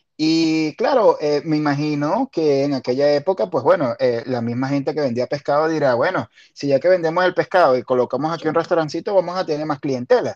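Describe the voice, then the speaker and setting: A man with an ordinary speaking voice talks at a fairly quick pace with hardly any pauses, a fairly high pitch and ordinary pitch variation, the sound dry and close with no echo against a quiet background. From Venezuela, La Guaira. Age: 40s. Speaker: podcast host. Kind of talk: casual chat.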